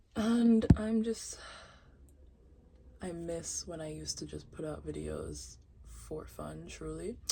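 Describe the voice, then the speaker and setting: At a very slow pace and in a relaxed tone, a woman speaks with long, frequent pauses in a room with audible echo. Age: 20s. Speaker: YouTuber. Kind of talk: casual vlog monologue. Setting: home closet with candles. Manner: relaxed, stream of consciousness.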